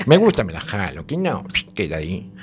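A man with very wide pitch swings at a moderate pace, over noticeable background noise. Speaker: radio show contributor. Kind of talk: comic casual chat. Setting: radio studio.

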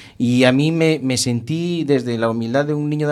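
The voice heard is an unremarkable speaking voice, with ordinary pitch variation. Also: man. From Spain, rural inland Galicia. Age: 50s. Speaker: judge. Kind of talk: interview. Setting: radio studio, live broadcast.

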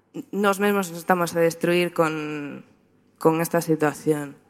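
A woman's fairly low voice, monotone and flat, at a fairly slow pace. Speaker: photographer. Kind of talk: talk presentation.

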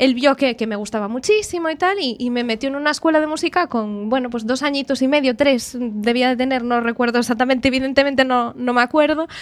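At a fairly quick pace and with hardly any pauses, a woman talks at a high pitch. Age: 20s. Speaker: pianist and music teacher. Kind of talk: radio interview.

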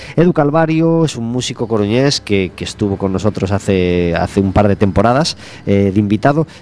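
A man with a plain, everyday voice, fairly low in pitch, with lively intonation at a moderate pace. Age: 40s. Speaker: radio host. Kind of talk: radio magazine chat.

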